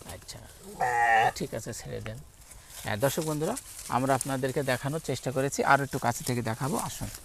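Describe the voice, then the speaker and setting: A man with a medium pitch and ordinary pitch variation speaks with vocal fry and big swings in loudness. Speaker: farm video host. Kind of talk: on-location farm interview.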